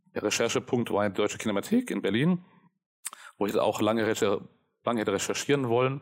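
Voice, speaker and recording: This man has a medium pitch with ordinary variation and keeps a moderate pace. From Germany (Karlsruhe), German-Italian upbringing. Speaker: media scholar. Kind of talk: interview. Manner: halting, many fillers.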